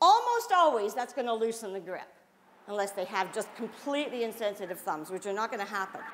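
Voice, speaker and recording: A woman with a fairly high pitch, a fairly quick pace and an animated tone, amid noticeable background noise. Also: ordinary pitch variation. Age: 60s. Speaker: self-defense instructor. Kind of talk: class instruction.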